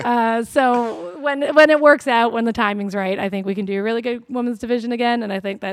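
Fairly quickly and with ordinary pitch variation, a woman talks in a normal speaking voice. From Vancouver area, Canada. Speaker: professional wrestler. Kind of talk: casual chat. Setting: wrestling training warehouse.

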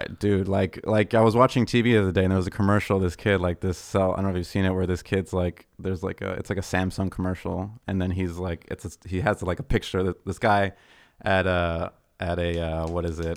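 Speaking very fast with a Californian accent, a man delivers his words in a very deep, low pitch and fairly even intonation on a very clean recording with a silent background. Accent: general American, Californian. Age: 30s. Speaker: bass player. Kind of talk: casual chat. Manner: laid back.

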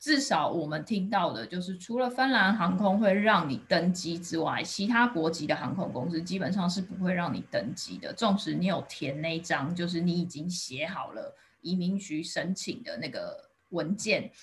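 A woman's fairly low, somewhat breathy voice at a moderate pace, lively in intonation, with hardly any pauses. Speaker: podcast host. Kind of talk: scripted intro and outro; interview conversation.

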